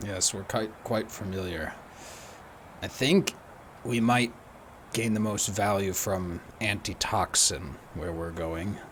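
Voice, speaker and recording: Putting on a character voice, a man speaks raspy and fairly low, at a fairly slow pace with long, frequent pauses, amid clear background noise. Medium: actual play. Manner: polite, measured.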